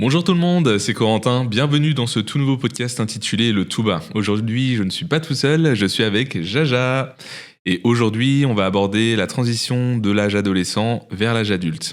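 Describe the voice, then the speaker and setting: An unremarkable speaking voice from a man at medium pitch, with ordinary pitch variation, very even loudness and a moderate pace, in a very clean recording with a silent background. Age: 20s. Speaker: podcast host, photographer and hotel worker. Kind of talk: casual podcast conversation.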